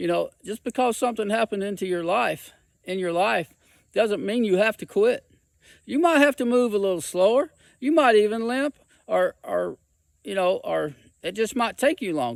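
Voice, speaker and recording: A high-pitched male voice on a very clean recording with a silent background. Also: moderate pace, dry, close sound with no echo. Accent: Southern US. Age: 60s. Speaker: hiking vlogger. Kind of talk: personal testimony. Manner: halting, repetitive.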